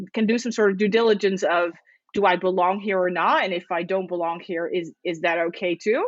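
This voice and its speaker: With a Dutch accent, a woman speaks at a medium pitch with ordinary pitch variation. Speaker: podcast co-host. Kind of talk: casual chat. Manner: halting, many repetitions.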